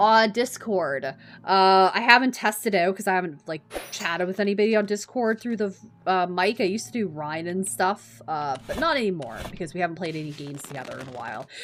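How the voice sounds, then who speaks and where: At a fairly quick pace, a woman of medium pitch talks with very wide pitch swings and big swings in loudness. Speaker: gaming streamer. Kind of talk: live gameplay stream chat. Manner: casual, filler-heavy.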